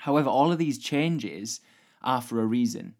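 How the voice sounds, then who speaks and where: A normal speaking voice from a man at a fairly quick pace, with ordinary pitch variation, in a very clean recording with a silent background. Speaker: podcast host. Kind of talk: solo educational podcast monologue.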